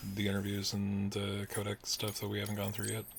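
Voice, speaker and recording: The speaker is soft-spoken and mumbles. Music plays in the background. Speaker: gaming streamer. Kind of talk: live game stream commentary. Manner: quiet, soft-spoken; mumbling.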